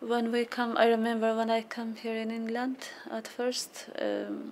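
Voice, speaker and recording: A woman speaks at a fairly slow pace with a fairly high pitch. Her intonation is monotone and flat, and there is noticeable background noise. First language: non-English. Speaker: refugee parent. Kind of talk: testimony.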